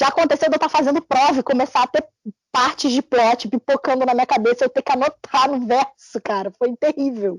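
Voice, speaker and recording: A woman speaks at a fairly quick pace in a Carioca accent, her pitch high with ordinary variation. Her loudness stays very even, and the sound is dry and close with no echo. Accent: carioca Brazilian Portuguese. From Brazil, Rio de Janeiro. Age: 20s. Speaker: fanfiction writer and editor. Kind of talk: interview. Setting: podcast.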